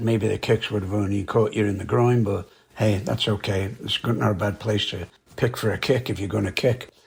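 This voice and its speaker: A somewhat breathy man speaks in a fairly low voice with fairly even intonation. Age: 80s+. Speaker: karate instructor. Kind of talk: casual podcast monologue.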